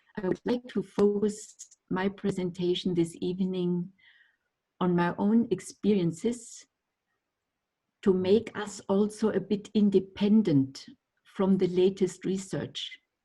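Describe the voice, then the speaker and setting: A woman in a German accent, somewhat breathy with a dark, mellow tone, medium-pitched and fairly even in intonation, fairly slow with long, frequent pauses. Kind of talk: lecture. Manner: halting.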